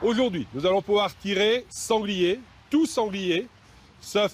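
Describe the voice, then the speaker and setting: Speaking at a very slow pace, a man comes through with a dry, close sound with no echo. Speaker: hunt organizer. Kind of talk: interview answer.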